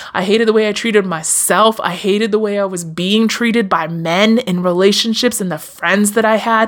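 Over noticeable background noise, the speaker talks at a fairly quick pace with hardly any pauses and an animated, warm tone. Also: woman, medium pitch for a woman. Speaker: podcast host. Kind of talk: solo motivational podcast monologue; warm pep talk cheering listeners on. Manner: animated, warm, affirming, direct address, encouraging; casual, conversational, slightly stumbling.

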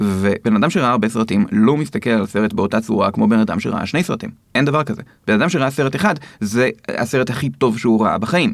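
A man talks with a normal speaking voice at a medium pitch. His pace is fairly quick and his intonation lively. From Israel. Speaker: film critic and lecturer. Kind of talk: interview.

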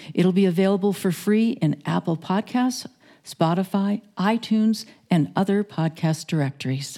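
Her voice has a dark, mellow tone and very even loudness. The woman uses ordinary pitch variation. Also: medium pitch for a woman, moderate pace. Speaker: radio co-host and announcer. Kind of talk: scripted narration.

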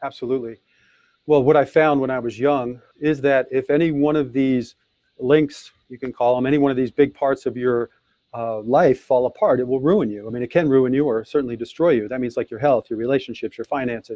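A man with a normal speaking voice talks at a fairly quick pace, his medium pitch held in fairly even intonation. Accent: American. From US Midwest, Detroit. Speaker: author and speaker. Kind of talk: interview.

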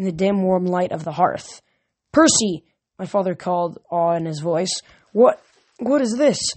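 Someone does plain reading aloud with a quiet background.

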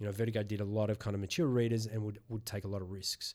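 A man with an Australian accent, very fast, fairly low-pitched, in a flat monotone. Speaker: podcast host. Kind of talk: casual interview chat.

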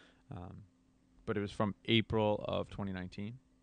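The man's fairly low voice stays monotone and flat throughout. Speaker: podcast co-host. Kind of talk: casual conversation. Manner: conversational, casual.

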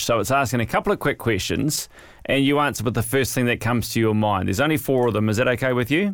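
A man at medium pitch, very fast pace, and ordinary pitch variation. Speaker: podcast host. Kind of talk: interview, scripted intro and outro.

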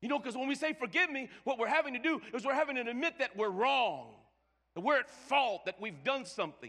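Raised and projected, the voice is bright and sharp, animated in tone, lively in intonation and fairly quick. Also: man, extremely high pitch for a man. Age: 50s. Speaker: pastor. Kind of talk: sermon. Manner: stammering repetitions.

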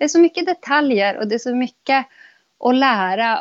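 A woman talks at a moderate pace with lively intonation in an unremarkable speaking voice. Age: 30s. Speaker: podcast guest. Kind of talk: casual conversation.

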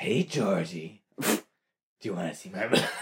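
A man's raspy put-on character voice, fairly low in pitch, at a fairly slow pace. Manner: menacing, coaxing.

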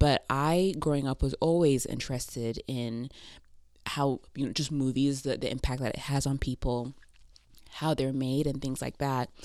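A woman speaks with a very deep, low pitch and fairly even intonation at a moderate pace. The recording is very clean, with a silent background. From Cameroon. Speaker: film director. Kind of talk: casual chat.

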